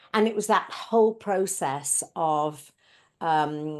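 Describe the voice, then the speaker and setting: Against a quiet background, a woman with an English accent talks at a fairly low pitch with ordinary pitch variation. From UK. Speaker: speaker, facilitator and coach. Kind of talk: interview.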